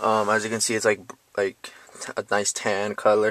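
A man speaks at a moderate pace, the sound dry with no echo. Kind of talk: casual vlog chat. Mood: casual, enthusiastic. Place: car. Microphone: phone near.

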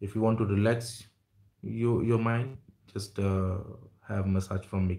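A man with an Indian accent speaks at a fairly slow pace and a fairly low pitch, his tone dark, mellow and somewhat breathy. His delivery is flat and monotone, broken by long, frequent pauses against a quiet background. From India, Jamshedpur. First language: Hindi. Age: 30s. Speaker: YouTuber. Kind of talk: livestream chat with viewers. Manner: halting. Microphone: earbuds.

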